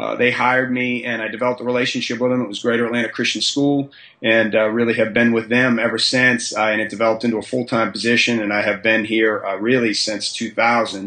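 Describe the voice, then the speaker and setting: In an American accent, a man delivers his words at a very fast pace with monotone, flat intonation and a medium pitch. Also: hardly any pauses. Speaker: high school strength and conditioning coach. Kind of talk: podcast interview. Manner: halting, many fillers and repetitions.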